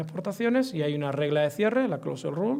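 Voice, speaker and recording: A man's high voice with an Andalusian accent, lively intonation and a fairly quick pace. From Andalusia, Spain. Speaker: economics professor. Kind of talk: lecture. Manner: fast.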